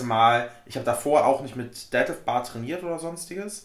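In a space with audible room echo, a man talks at a fairly high pitch with ordinary variation. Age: 20s. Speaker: powerlifter. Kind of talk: casual chat.

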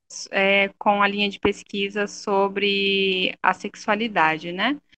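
Her tone bright and sharp, a woman speaks at a very slow pace with fairly even intonation in a dry, close sound with no echo. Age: 20s. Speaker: social worker. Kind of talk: interview.

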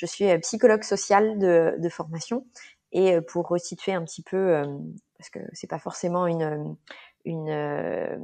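A woman speaks at a very slow pace. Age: 30s. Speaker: social psychologist. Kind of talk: casual chat. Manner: halting.

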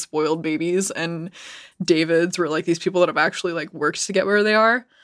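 A woman speaks at a very fast pace. Her voice is fairly low, and her intonation stays fairly even. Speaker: podcast co-host. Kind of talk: casual chat. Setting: remote call over internet.

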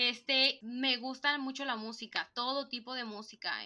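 A woman speaks at a fairly slow pace with ordinary pitch variation. She has a northern Mexican accent. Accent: northern Mexican (Monterrey) Spanish. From Mexico, Monterrey. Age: 20s. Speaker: podcast co-host. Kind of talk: casual chat. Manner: blunt, to the point.

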